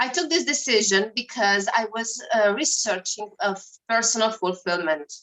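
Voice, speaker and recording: Her Romanian accent comes through as a woman speaks at a moderate pace with a fairly high pitch. The intonation is lively. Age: 30s. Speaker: network marketer. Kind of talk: testimony. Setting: video call.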